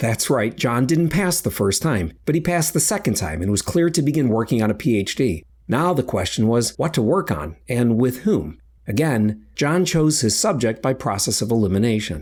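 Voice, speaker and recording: A man's medium-pitched voice with vocal fry, very wide pitch swings, very even loudness, hardly any pauses and a moderate pace, on a very clean recording with a silent background. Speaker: science reporter. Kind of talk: podcast narration.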